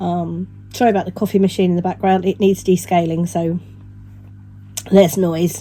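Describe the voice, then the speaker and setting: A woman with a British accent speaks at a moderate pace, leaving long, frequent pauses. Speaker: knitting vlogger. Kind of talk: vlog. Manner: casual, hesitant.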